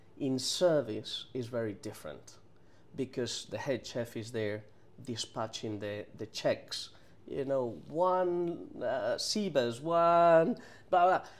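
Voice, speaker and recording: The speaker has a Spanish accent. The pace is very slow. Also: man. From Spain, Madrid. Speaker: chef. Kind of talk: interview. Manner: halting, many repetitions.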